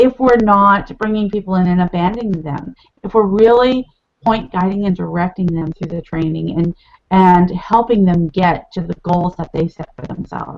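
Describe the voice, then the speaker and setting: An ordinary speaking voice belongs to a woman of medium pitch. She keeps a moderate pace with ordinary pitch variation. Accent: American. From California. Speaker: network marketing leader. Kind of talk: interview.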